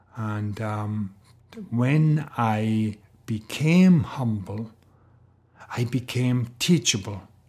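With a Welsh accent, a man speaks very slowly at medium pitch, with ordinary pitch variation and long, frequent pauses. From Wales. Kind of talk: faith talk monologue with personal testimony. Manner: casual with fillers.

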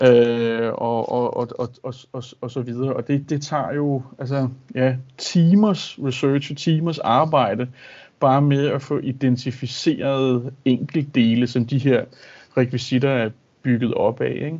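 A man's medium-pitched voice at a very slow pace. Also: fairly even intonation. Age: 30s. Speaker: high school Danish teacher and collector. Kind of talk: casual interview. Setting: video call. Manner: halting, many fillers.

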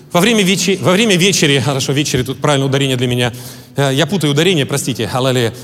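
Amid noticeable background noise and audible room echo, a man talks at a very fast pace, fairly high in pitch with lively intonation. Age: 40s. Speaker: pastor. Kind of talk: sermon.

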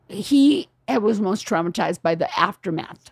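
A woman's fairly high, somewhat breathy voice, very slow in pace and lively in intonation. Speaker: writer and producer, comedian's wife. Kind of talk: casual chat. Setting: in a home.

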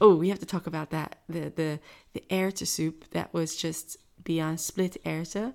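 In a very clean recording with a silent background, a woman speaks at a fairly slow pace and a fairly low pitch. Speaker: podcast co-host. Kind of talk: casual chat; sponsor read. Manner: giggly.

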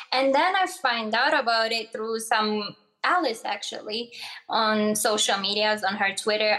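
There is noticeable background noise. Over it, a woman speaks in a fairly high pitch. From Morocco, raised in Boston from age 12. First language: Arabic. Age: 20s. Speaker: legal sex worker. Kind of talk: casual interview.

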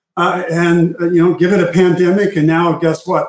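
A man with a normal speaking voice is fairly high in pitch. He talks at a moderate pace. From Arizona. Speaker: tech executive. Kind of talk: interview.

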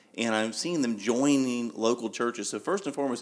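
Using a plain, everyday voice, a man talks at a medium pitch that varies in an ordinary way. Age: 30s. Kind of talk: casual chat.

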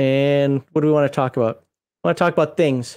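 On a very clean recording with a silent background, a man with an American accent speaks at a fairly quick pace, his fairly high voice held to fairly even intonation. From US Midwest. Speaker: podcast host and former Air Force member. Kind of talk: casual livestream chat. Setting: live stream.

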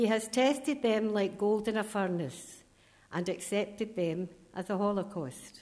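Speaking at a fairly slow pace in a Scottish accent, a woman holds a medium pitch with ordinary pitch variation. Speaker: scripture reader. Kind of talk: reading aloud of scripture. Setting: church.

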